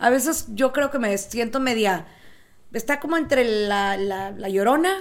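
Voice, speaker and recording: In an ordinary speaking voice, a woman with a fairly high pitch speaks at a fairly slow pace with lively intonation. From South Texas. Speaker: podcast co-host. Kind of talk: casual chat.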